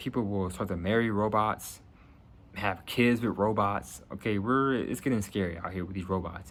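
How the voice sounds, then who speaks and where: This man has a plain, everyday voice with an American accent. His pitch is fairly low, with ordinary variation. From New Jersey. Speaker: YouTuber making prediction videos. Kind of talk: casual monologue to camera.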